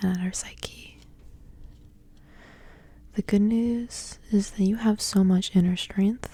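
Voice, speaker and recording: The speaker is soft-spoken with a gentle tone and a very slow pace. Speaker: ASMR content creator and tarot reader. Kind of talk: ASMR tarot reading, soft-spoken. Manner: soft-spoken, gentle, relaxing.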